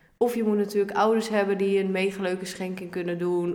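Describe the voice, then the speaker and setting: In a room with audible echo and noticeable background noise, a woman with a medium pitch speaks at a moderate pace in an animated tone. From Netherlands, Ermelo (Gelderland). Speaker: young first-time home seeker, party candidate. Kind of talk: podcast interview. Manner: animated, informal.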